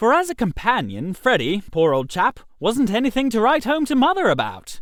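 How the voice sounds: Delivered at a moderate pace, the put-on character voice has a fairly bright tone and very wide pitch swings. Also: man, high pitch for a man.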